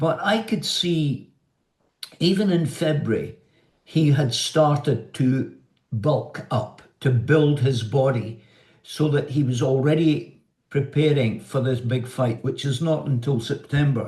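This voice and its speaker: Very slowly and somewhat breathily, a man with a fairly high pitch speaks in a Scottish accent. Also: ordinary pitch variation. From Scotland. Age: 70s. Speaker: journalist, television presenter, former amateur boxer. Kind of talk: interview answer.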